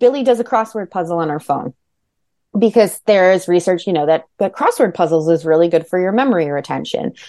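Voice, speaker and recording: A woman with a New Jersey accent talks at a fairly quick pace in a dark, mellow tone. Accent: New Jersey American. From New Jersey, Monmouth County. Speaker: author. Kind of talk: interview.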